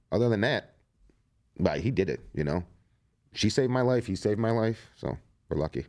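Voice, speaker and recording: In an American accent, a man with a fairly low pitch and vocal fry speaks with lively intonation. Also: fairly quick pace. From Ohio, Cleveland area. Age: 40s. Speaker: plumber, cancer survivor. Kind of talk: interview, personal story. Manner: casual, filler-heavy.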